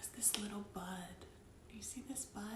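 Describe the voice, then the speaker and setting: With an American accent, a gentle, animated tone comes through noticeable background noise. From US South, North Georgia. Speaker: children's storyteller. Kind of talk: children's storytime show-and-tell.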